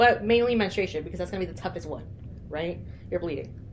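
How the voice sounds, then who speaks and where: Very fast speech from a woman at a medium pitch with very wide pitch swings, audible room echo and noticeable background noise. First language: not English. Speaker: podcast co-host. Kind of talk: casual chat.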